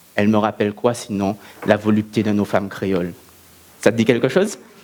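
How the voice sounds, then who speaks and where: A man is speaking. Background noise is noticeable behind him. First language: Antillean Creole (alongside French) (speaking French). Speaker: eloquence contest speaker. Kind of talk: oratory speech. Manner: declamatory, rhetorical.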